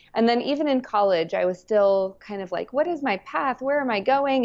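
In a Southwestern US accent, a woman talks at a moderate pace with ordinary pitch variation. The background is quiet. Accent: American (Southwest). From New Mexico, US. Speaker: parenting coach. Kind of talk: interview conversation.

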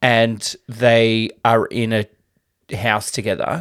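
Speaking with an Australian accent at a medium pitch, a man is captured on a very clean recording with a silent background. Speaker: podcast co-host. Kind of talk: casual chat.

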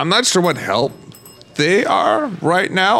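A man's pitch swings very widely as he talks, with noticeable background noise behind him. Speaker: tabletop roleplay player. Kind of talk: tabletop roleplay, casual chat. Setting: around a table in person.

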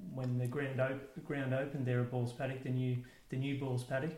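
Monotone, flat intonation runs through this man's speech. His pitch sits at a medium level. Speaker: podcast host and interviewer. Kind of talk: interview, conversational. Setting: interviewee's home.

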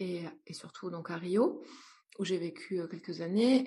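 Her voice somewhat breathy and dark and mellow in tone, a woman talks at a fairly slow pace. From France, rural, partly raised in Brazil. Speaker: entrepreneur and psychologist. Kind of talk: interview conversation. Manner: hesitant, many fillers.

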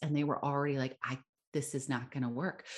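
Against a quiet background, a woman with an American accent speaks in a very deep, low pitch. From United States. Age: 40s. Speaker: speech and voice pathologist. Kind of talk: podcast interview.

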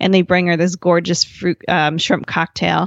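A woman with an American accent and an unremarkable speaking voice, a fairly low pitch and a moderate pace. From New Jersey. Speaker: family travel blogger and podcaster. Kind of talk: interview conversation.

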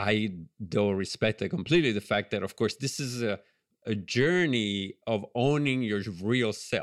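A man speaks at a moderate pace with an Italian accent. His pitch is fairly low, with ordinary variation. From Italy, Ligurian coast. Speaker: animated film director. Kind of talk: interview.

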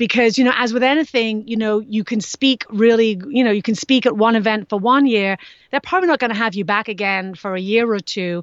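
A woman with a Scouse accent talks at a fairly quick pace with hardly any pauses. Her pitch is fairly high, with ordinary variation. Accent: Scouse, Liverpool English. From Liverpool, England. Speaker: speaker, author, fitness expert. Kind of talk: casual interview.

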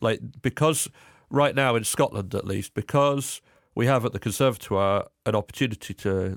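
A man with a southern English accent and ordinary pitch variation, very cleanly recorded against a silent background, dry and close with no echo. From England, Cambridge. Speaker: folk musician and composer. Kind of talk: casual interview chat.

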